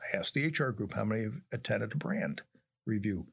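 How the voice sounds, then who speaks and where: Vocal fry runs through a man's lively intonation. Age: old. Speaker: retired HR executive. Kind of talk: interview.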